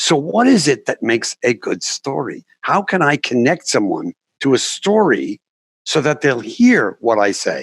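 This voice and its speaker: Recorded dry and close with no echo, a man talks at a fairly slow pace. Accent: New York. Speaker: documentary filmmaker and communication coach. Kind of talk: interview.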